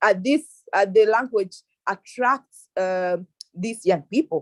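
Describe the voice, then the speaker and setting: A woman speaks with an East African accent and lively intonation. The sound is dry and close, with no echo. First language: Swahili. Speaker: youth panelist. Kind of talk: panel discussion. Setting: online video call. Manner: halting, many repetitions.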